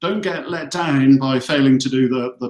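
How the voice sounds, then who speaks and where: A man with a Hampshire accent talks at a fairly slow pace, his fairly high pitch held in fairly even intonation. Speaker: recruitment company executive. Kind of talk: career advice webinar. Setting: video call from office.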